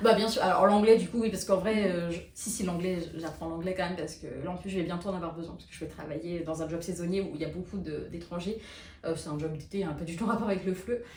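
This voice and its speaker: Amid noticeable background noise and audible room echo, a woman talks at a very fast pace with fairly even intonation. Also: fairly low pitch for a woman, big swings in loudness. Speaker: French as a foreign language teacher. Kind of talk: casual podcast chat. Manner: fast, hesitant with many fillers.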